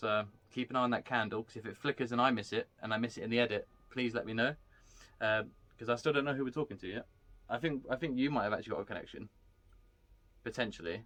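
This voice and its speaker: Talking very fast at a medium pitch, a man lets his pitch vary in an ordinary way. He leaves long, frequent pauses. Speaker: paranormal investigator. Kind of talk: casual chat. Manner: loud.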